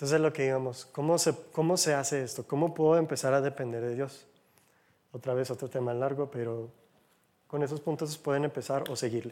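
This man has a dark, mellow tone and a fairly high pitch. He talks at a fairly quick pace with fairly even intonation. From United States. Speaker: lay church speaker. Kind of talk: sermon. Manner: conversational.

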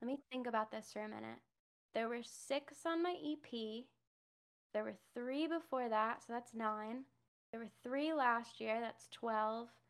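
A woman with an ordinary speaking voice talks at a fairly slow pace. Her pitch is fairly high, with ordinary pitch variation. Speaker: musician and streamer. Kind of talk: casual interview chat.

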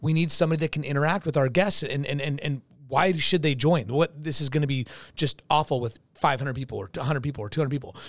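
A man with a fairly high pitch speaks at a very fast pace with ordinary pitch variation. The recording is very clean, with a silent background. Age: 40s. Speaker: magician and mentalist. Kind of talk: casual chat. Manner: halting.

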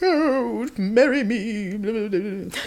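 A female-sounding, put-on character voice at a fairly high pitch, over light background noise. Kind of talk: archaic, theatrical.

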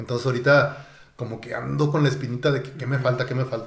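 In a Mexican accent, a man speaks at a fairly quick pace with a medium pitch and monotone, flat intonation, with audible room echo. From Mexico. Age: 40s. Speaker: ultramarathon runner. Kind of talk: interview. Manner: halting, repeats words.

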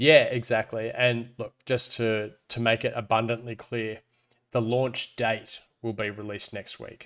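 With an Australian accent, a man speaks at a medium pitch in a monotone, flat intonation. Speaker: crypto podcast co-host. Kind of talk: casual chat.

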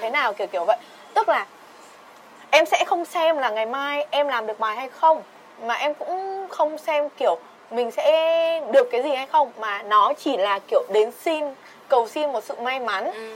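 Against noticeable background noise, a woman with a high voice talks at a moderate pace, broken by long, frequent pauses. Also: lively intonation. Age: 20s. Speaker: podcast guest. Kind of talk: casual chat.

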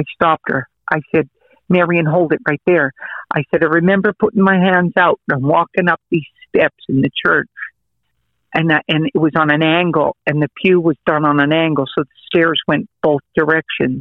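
A man with an American accent and a normal speaking voice talks at a moderate pace. His intonation is fairly even and his loudness very even. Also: fairly high pitch for a man. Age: 50s. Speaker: preacher. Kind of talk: testimony.

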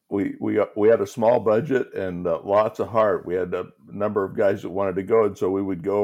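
At a fairly quick pace, a man with a normal speaking voice talks at a fairly low pitch. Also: quiet background. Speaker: pastor and guest co-host. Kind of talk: casual interview chat.

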